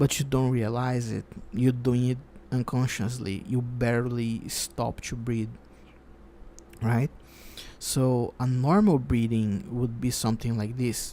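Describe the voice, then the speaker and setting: Soft-spoken and calm, a man with a dark, mellow tone talks at a fairly slow pace with fairly even intonation and long, frequent pauses. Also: medium pitch for a man. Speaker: psychologist. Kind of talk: ASMR sleep counseling roleplay. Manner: soft-spoken, calm.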